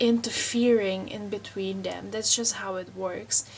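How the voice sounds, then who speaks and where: The speaker talks at a fairly slow pace with fairly even intonation in a Czech accent. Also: woman. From Czech Republic. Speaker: wellness vlogger. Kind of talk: personal vlog monologue. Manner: hesitant, many fillers.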